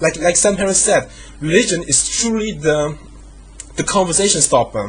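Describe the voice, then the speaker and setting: Music plays in the background as a man with a high pitch speaks with lively intonation. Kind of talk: casual talk to camera, opinion rant. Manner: fast, with hesitations.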